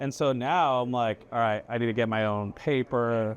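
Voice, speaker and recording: A man at medium pitch and moderate pace, with a plain, everyday voice. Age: 40s. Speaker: chef. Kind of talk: casual chat. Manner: casual, filler-heavy.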